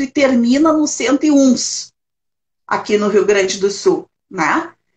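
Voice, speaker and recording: Somewhat breathy, a woman speaks at a very slow pace. Her intonation is lively. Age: 60s. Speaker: retired social worker, elder-rights council president. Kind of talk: interview conversation.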